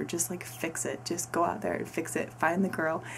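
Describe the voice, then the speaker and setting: Lively intonation marks this woman's fairly low voice. Noticeable background noise runs behind her. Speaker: book reviewer. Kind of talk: casual book review.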